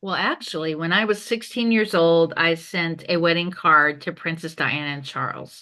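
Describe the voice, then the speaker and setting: Her tone is bright and sharp, her pitch fairly low for a woman with ordinary variation. She speaks with hardly any pauses. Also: moderate pace, quiet background. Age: 60s. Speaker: entrepreneur and podcast host. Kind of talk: interview. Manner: animated.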